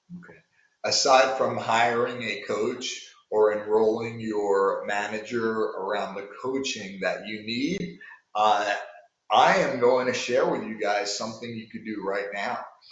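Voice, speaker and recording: With a New York accent, a man speaks at a fairly slow pace with big swings in loudness, and audible room echo fills the sound. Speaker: sales coach. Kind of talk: coaching talk to sales managers.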